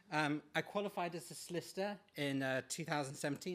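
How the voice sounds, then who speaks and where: On a very clean recording with a silent background, a man with an English accent speaks at a fairly high pitch. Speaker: patient speaker. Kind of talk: talk to an audience. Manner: halting.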